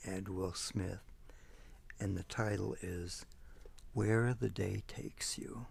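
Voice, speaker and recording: A soft-spoken man talks at a very slow pace with vocal fry and long, frequent pauses. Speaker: ASMR creator. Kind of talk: casual talk to camera, showing a video collection.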